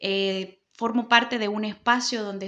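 A woman's fairly high, bright, sharp voice at a fairly slow pace, with fairly even intonation over a quiet background. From El Salvador, Santa Ana; El Salvador. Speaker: political candidate and lawyer; candidate, lawyer. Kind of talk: interview. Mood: earnest, committed. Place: office. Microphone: handheld.

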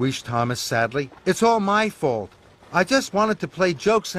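Text read aloud in a plain way.

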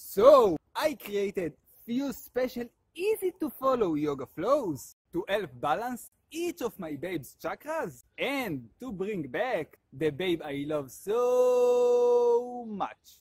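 A man at a very slow pace with very wide pitch swings, in a dry sound without echo and a quiet background. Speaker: yoga instructor. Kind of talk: animated promo vlog talk.

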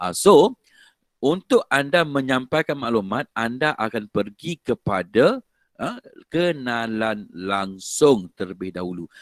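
Against a quiet background, a man's lively intonation comes through in a dry sound with no echo. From Malaysia. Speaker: lecturer. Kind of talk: online lecture. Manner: casual, code-switching. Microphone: headset.

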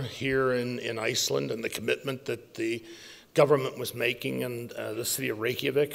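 A man's voice with vocal fry at a moderate pace. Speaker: conference speaker. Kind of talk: speech. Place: hall. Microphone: podium.

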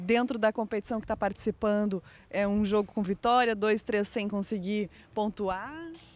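This woman's pitch is fairly high, and her pace is moderate. The sound is dry with no echo. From Rio Grande do Sul, Brazil. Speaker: TV sports reporter. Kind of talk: TV sports interview. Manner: animated. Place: stadium. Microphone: handheld.

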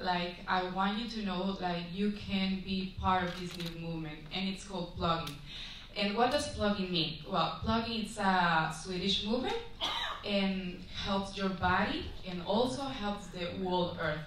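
A woman in a Spanish accent at a fairly slow pace, with ordinary pitch variation, light background noise and audible room echo. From Guatemala. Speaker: beauty pageant contestant. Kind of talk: pageant judging interview. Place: hall.

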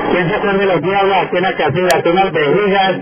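Over loud background noise, a man speaks with a high-pitched voice. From Colombian Llanos (Meta); Colombia. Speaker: local politician. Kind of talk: public speech. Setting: outdoors. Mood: nostalgic, warm. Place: street.

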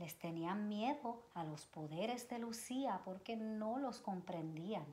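Her tone is dark and mellow, somewhat breathy. The woman talks at a fairly slow pace with ordinary pitch variation. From Puerto Rico. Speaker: children's educator, nonprofit advisory board member; storyteller reading to children. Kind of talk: reading aloud to children. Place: home room. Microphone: camera far.

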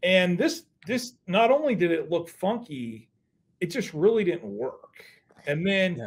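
A man with an American accent, high in pitch, with very wide pitch swings at a fairly slow pace. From Las Vegas, US. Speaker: newspaper sports reporter. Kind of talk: casual interview. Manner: halting, repeats words.

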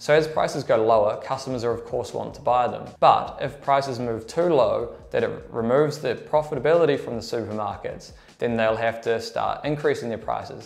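Here a man with a New Zealand accent talks at a fairly quick pace. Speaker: junior trader. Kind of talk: tutorial. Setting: quiet room away from trading floor. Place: office. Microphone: lapel.

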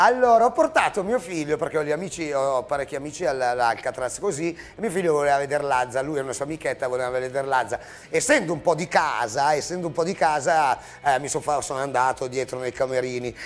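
Faint music plays in the background. A man speaks at a fairly quick pace with a fairly high pitch and ordinary pitch variation. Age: 50s. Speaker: punk band musician; TV show host. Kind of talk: casual chat. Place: studio.

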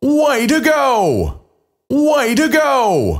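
A man's voice, very clean recording, silent background. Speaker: game announcer. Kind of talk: game announcer praise lines. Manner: enthusiastic, upbeat.

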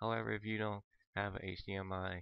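A man's quiet, monotone, flat delivery at a moderate pace. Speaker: gaming video creator. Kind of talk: tutorial commentary. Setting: headset mic. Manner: hesitant, many fillers.

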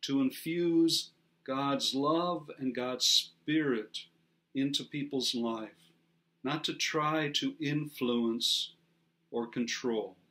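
A man speaks at a slow pace. His tone is bright and sharp. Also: medium pitch for a man, ordinary pitch variation.

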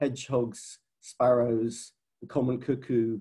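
Over a quiet background, a man speaks in a somewhat breathy voice with a dark, mellow tone. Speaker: conservation science director. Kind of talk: webinar presentation. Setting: video call. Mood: earnest, concerned. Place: home room. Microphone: webcam.

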